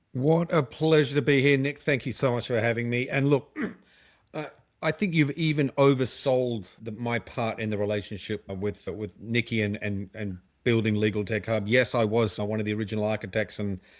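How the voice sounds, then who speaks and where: The recording here is very clean, and the background is silent. In it, a man talks with an Australian accent. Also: medium pitch for a man, ordinary pitch variation, moderate pace. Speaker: legal tech company co-founder and marketer. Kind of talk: podcast interview.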